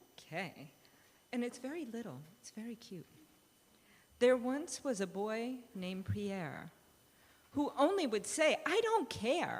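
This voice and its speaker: A woman with a fairly high pitch and vocal fry speaks at a fairly slow pace, using very wide pitch swings, big swings in loudness and long, frequent pauses. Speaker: director of religious education. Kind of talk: reading aloud a children's story. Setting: church.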